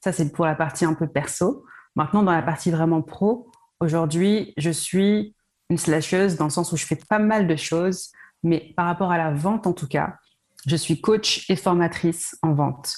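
A woman with an unremarkable speaking voice and fairly low pitch speaks at a fairly slow pace. Her loudness stays very even, with ordinary pitch variation. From France, Paris region. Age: 30s. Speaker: sales coach. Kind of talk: interview.

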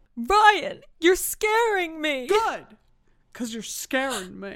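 A put-on character voice with a dramatic tone, very wide pitch swings and a very slow pace, in a very clean recording with a silent background. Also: female-sounding voice, extremely high pitch for a woman. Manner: dramatic, scared.

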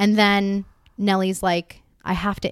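A woman at medium pitch and a moderate pace, a normal speaking voice, in a very clean recording with a silent background. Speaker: young professional telling a story. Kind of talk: personal storytelling to a small audience. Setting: apartment gathering with about fifteen people.

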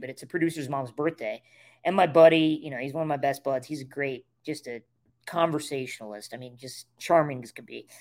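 A normal speaking voice from a man with an American accent, fairly high pitch and fairly even intonation. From rural Nebraska. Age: 30s. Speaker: comedian and screenwriter. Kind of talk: casual chat.

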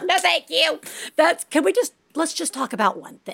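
A put-on character voice sits at a high pitch and swings very widely. The pace is fairly slow. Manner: mocking, dismissive.

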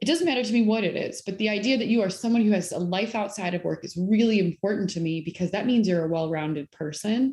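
Talking very fast with hardly any pauses, a woman uses a medium pitch and a dark, mellow tone that is somewhat breathy. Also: ordinary pitch variation. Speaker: company president and co-founder. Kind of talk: interview. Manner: soft-spoken.

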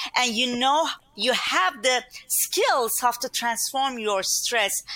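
With a Turkish accent, a woman talks very slowly in a high pitch with lively intonation over noticeable background noise. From Turkey. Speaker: inner mastery speaker and coach. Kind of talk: casual interview chat. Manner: warm, upbeat, laughs often.

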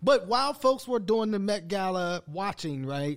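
The recording is very clean and the background silent. In it, a man talks with an American accent. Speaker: co-founder and podcast host. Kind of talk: casual banter podcast on politics and race. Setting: studio with cameras.

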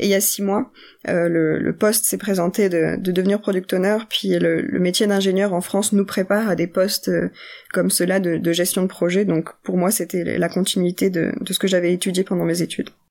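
A woman delivers her words at a moderate pace and medium pitch, her intonation monotone and flat. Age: young. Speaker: product owner in finance tech. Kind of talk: interview.

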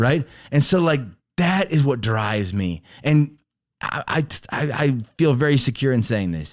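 With an American accent and lively intonation, an ordinary speaking voice moves at a moderate pace on a very clean recording with a silent background. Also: man, medium pitch for a man. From Chicago, Illinois. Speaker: pastor's son telling his faith story. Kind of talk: testimony.

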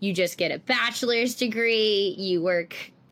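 A woman with a New York accent and ordinary pitch variation, on a very clean recording with a silent background. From New York City, Staten Island. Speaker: speech-language pathologist. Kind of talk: interview.

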